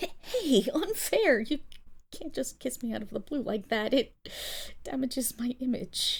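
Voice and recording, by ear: A woman uses a put-on character voice at a high pitch with big pitch swings. Her fairly slow delivery has vocal fry and a slightly husky edge.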